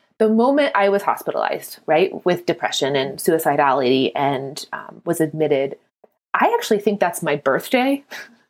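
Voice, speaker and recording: This woman's voice shows vocal fry and very wide pitch swings. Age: 40s. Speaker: podcast host. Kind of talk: casual interview chat. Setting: studio.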